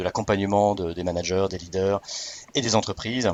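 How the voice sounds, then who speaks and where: Noticeable background noise sits under the recording. A man with a fairly low voice talks at a fairly quick pace. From Alsace, France, with American mother. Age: 40s. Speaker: business school training project manager. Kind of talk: podcast interview. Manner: hesitant, many fillers and repetitions.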